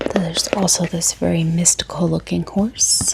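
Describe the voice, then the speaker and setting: Soft-spoken and fairly slow, a woman talks over noticeable background noise. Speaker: book content creator. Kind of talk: ASMR book unboxing.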